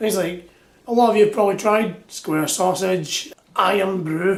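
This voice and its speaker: Here a man speaks with a Scottish accent at a moderate pace. His pitch is high, with ordinary variation. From Scotland. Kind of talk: casual talk to camera. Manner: upbeat, jokey.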